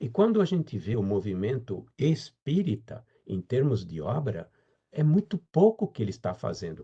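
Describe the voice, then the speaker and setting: A man talks at a moderate pace in a dark, mellow tone. His pitch swings very widely, with vocal fry throughout. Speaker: spiritist lecturer. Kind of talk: lecture.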